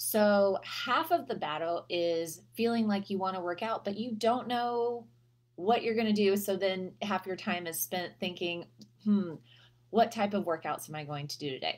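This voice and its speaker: At a moderate pace, a woman speaks with lively intonation. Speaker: health coach. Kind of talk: casual advice vlog. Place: home room. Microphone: webcam.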